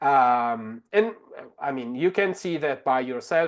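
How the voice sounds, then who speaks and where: With an Italian accent, a man speaks at medium pitch. His pace is fairly slow, and the background is quiet. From Italy. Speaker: translator and language technology expert. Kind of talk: webinar tutorial demo. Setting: online webinar. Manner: many fillers and restarts.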